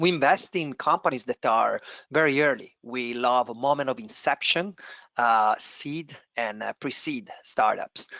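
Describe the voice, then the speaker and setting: A man with an Italian accent speaks at a fairly slow pace, with a fairly high pitch and lively intonation. His tone is bright and sharp, the sound dry and close with no echo over a quiet background. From Italy. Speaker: venture capital investor. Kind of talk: panel discussion. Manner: hesitant with many fillers.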